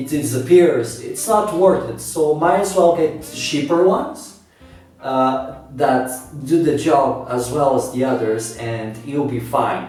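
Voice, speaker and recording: Amid music in the background and audible room echo, a man with a non-native accent speaks at a very slow pace, fairly high in pitch with ordinary pitch variation. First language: not English. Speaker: student vlogger. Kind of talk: casual monologue. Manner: halting, many fillers.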